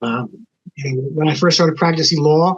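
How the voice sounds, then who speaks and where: Somewhat breathy and pitched fairly high, a man talks at a moderate pace with fairly even intonation. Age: 70s. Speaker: lawyer, former bar association president. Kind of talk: casual podcast conversation. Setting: podcast recording.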